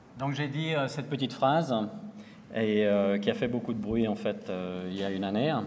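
Pitch varies in an ordinary way, and the pace is moderate. The room echo can be heard. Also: man, medium pitch for a man. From Switzerland, Lausanne. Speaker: designer. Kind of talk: conference talk. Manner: hesitant, many fillers.

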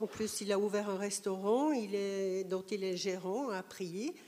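In a dark, mellow tone, a woman speaks at a very slow pace and a medium pitch. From Switzerland. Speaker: audience member. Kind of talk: audience question. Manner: halting.

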